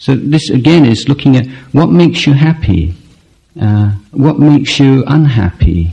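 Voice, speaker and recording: A man's somewhat breathy voice with a dark, mellow tone, lively intonation and a moderate pace. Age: 40s. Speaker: Buddhist monk teacher. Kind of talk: dharma talk Q&A. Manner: hesitant, many fillers.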